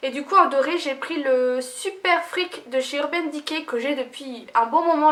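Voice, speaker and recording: A woman speaks very slowly, her intonation lively. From Lorraine, France. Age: 20s. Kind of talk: casual talk to camera.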